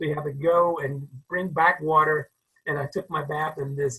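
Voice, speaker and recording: Speaking with a North Carolina accent, a man uses a fairly high pitch and a bright, sharp tone, with fairly even intonation at a fairly slow pace. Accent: Southern US, North Carolina. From US South, rural North Carolina. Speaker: crowd safety expert and author. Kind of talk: interview storytelling. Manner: conversational, with hesitations.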